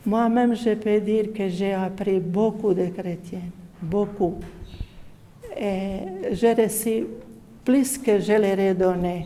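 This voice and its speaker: A woman's medium-pitched voice, very slow and fairly even in intonation, with long, frequent pauses and audible room echo. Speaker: Franciscan religious sister. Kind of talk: testimony. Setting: parish meeting. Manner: halting.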